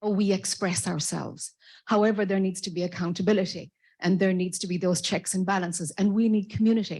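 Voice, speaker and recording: A very fast, somewhat breathy woman's voice in an Irish accent, medium in pitch with a dark, mellow tone and fairly even intonation, over a quiet background. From Ireland. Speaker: audience member, spiritual association organizer. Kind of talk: audience comment at conference. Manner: halting.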